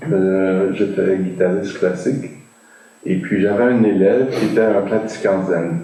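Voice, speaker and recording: Against audible room echo, a man holds a very even loudness at a fairly low pitch. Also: fairly even intonation. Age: 60s. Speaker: meditation practitioner, former classical guitarist. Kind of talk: interview. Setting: video call. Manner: halting, many filler sounds.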